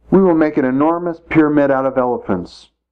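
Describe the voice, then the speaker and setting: In a put-on character voice, a man speaks very fast at a fairly high pitch. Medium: read story.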